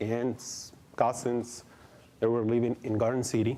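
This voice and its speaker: Audible room echo follows a man who speaks very slowly with a Mexican accent. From Mexico. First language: Spanish. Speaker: adult education director. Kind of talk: conference presentation. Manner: halting, many fillers.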